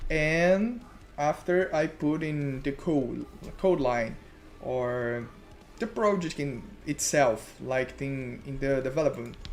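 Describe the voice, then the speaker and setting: With a Brazilian Portuguese accent, a man speaks at a very slow pace with ordinary pitch variation over light background noise. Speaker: web developer streamer. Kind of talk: live coding tutorial. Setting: live stream. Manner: halting, searching for words. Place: home room.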